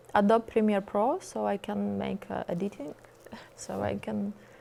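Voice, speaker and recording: The speaker is a woman with a Russian accent. She talks at a moderate pace. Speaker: singer, model and actress. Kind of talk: interview. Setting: TV studio with audience. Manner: halting.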